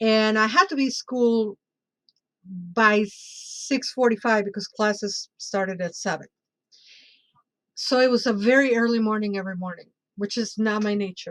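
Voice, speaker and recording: A woman with a Spanish accent talks at a moderate pace in a fairly high pitch with ordinary pitch variation. Long pauses come often in her speech. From Mexico City, Mexico. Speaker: bruja and tarot reader. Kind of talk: casual interview chat.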